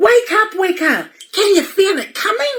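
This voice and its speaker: A woman uses a put-on character voice that is squeaky and extremely high. She goes at a moderate pace. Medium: read story. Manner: eager, urgent.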